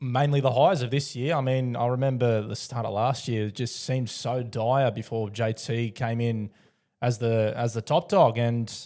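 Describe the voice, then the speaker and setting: In an Australian accent, the speaker talks at a moderate pace with fairly even intonation, in a very clean recording with a silent background. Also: man, medium pitch for a man. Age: 20s. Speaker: podcast host. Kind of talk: casual interview chat.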